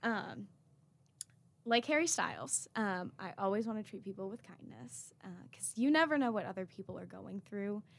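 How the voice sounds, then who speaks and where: Recorded very cleanly with a silent background, a woman with an American accent speaks at a medium pitch and moderate pace, with very wide pitch swings and big swings in loudness. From North Carolina (Raleigh). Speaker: university student. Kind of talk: interview.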